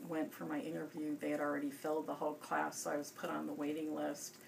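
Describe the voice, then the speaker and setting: Noticeable noise sits in the background. The woman talks with an American accent. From US Midwest, Chicago area. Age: 50s. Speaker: pediatrician. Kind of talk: interview. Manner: hesitant, many fillers.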